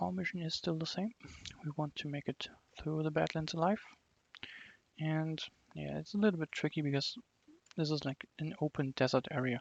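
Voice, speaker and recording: With a non-native accent, the speaker moves at a moderate pace broken by long, frequent pauses. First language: not English. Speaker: game developer streaming own fan game. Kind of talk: gameplay commentary. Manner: casual, filler-heavy.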